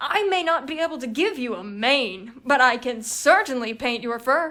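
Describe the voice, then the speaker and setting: A woman puts on a character voice, high-pitched and at a moderate pace. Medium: read story.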